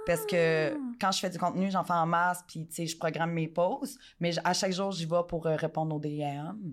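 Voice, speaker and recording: In a very clean recording with a silent background, a woman with a Quebec accent and a fairly low voice speaks at a moderate pace with ordinary pitch variation. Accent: Québécois French. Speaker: adult content creator. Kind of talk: casual interview.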